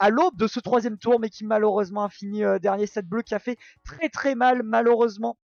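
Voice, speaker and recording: Over music in the background, a man speaks fairly quickly at a high pitch with fairly even intonation. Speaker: esports commentator. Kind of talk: live commentary. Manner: halting.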